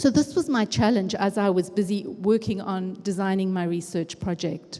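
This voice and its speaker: A woman's medium-pitched voice carries a dark, mellow tone and ordinary pitch variation. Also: moderate pace. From Africa. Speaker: education researcher and conference speaker. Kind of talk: conference talk. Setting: stage with audience. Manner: conversational.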